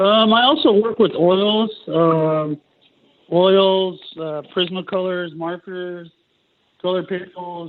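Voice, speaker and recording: Very slowly and with fairly even intonation, a man speaks at a high pitch. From California, Mexican heritage. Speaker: tattoo artist. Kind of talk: interview. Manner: casual, many fillers.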